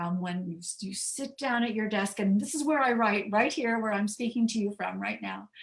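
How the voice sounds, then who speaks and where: A woman's somewhat breathy voice with an American accent, medium in pitch, with ordinary pitch variation and a moderate pace. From US Midwest, rural Indiana. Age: 70s. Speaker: mystery novelist, author. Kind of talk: author talk.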